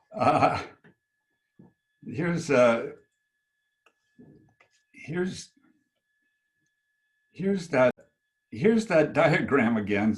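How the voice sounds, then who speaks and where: Using a put-on character voice, a man speaks at a very slow pace with long, frequent pauses, his raspy, fairly high pitch making very wide swings. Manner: stuttering, repeating words.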